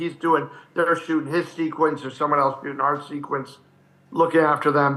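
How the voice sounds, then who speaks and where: A man's fairly high voice, a normal speaking voice, with fairly even intonation at a moderate pace. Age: 60s. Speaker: actor. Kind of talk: casual chat.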